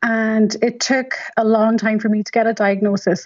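All around the voice, the background stays quiet. Its intonation is monotone and flat. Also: woman. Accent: Donegal. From Donegal, Ireland. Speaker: patient advocate and medical scientist. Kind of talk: radio interview. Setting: phone line.

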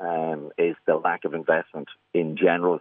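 A man speaks with a County Louth accent. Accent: Irish, County Louth. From Drogheda, Ireland. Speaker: sports club chairman. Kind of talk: radio phone-in. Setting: phone call.

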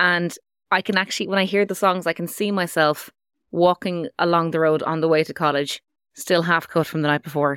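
A woman with an Irish accent speaks at a very fast pace with fairly even intonation, the sound dry and close with no echo in a very clean recording with a silent background. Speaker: radio presenter. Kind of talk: casual chat. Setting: studio.

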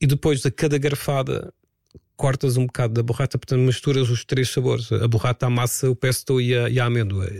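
With a calm tone and medium pitch, a man speaks at a fairly quick pace in a somewhat breathy voice, his intonation fairly even and his loudness very even, in a dry, close sound with no echo. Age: 50s. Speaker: radio presenter and DJ. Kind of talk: casual chat.

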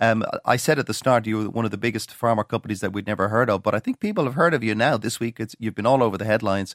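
Very clean recording, silent background. A man at medium pitch speaks with a dry, close sound and no echo. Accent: Irish. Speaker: radio host. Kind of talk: radio interview.

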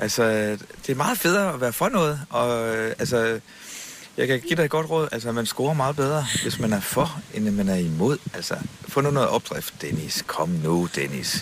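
A man speaks at medium pitch with very wide swings up and down. His pace is moderate, and noticeable background noise runs underneath. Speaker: radio host. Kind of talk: casual chat.

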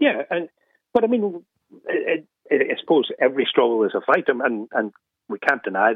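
At a fairly quick pace, a man talks with an Irish accent. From Ireland. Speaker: radio caller. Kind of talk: radio phone-in.

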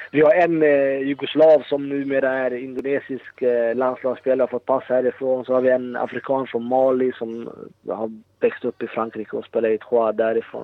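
Delivery proceeds at a moderate pace. The intonation stays monotone and flat. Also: man, medium pitch for a man. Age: 30s. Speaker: professional footballer. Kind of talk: casual interview. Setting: remote call from Indonesia.

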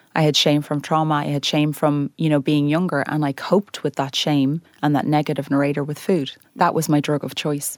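A woman with an Irish accent, very deep and low in pitch, flat and monotone at a fairly quick pace, in a very clean, silent recording with a dry, close sound and no echo. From Ireland. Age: 30s. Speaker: weight loss influencer. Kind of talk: interview.

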